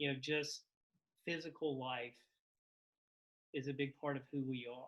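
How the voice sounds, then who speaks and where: Bright and sharp in tone, a man with a Carolina accent speaks in a fairly high pitch with monotone, flat intonation. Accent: lilting Carolina. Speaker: novelist. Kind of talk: casual conversation.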